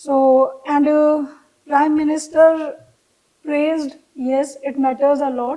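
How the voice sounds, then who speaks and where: In an Indian accent, a woman speaks with a high pitch and a dark, mellow tone. Her intonation is flat and monotone, at a very slow pace with long, frequent pauses. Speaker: fashion designer. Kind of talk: interview answer.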